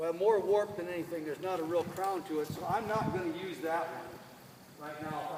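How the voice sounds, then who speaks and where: Loud and fairly quick, a man talks in a high pitch with fairly even intonation. There is noticeable background noise. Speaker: carpentry instructor. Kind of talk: hands-on tutorial.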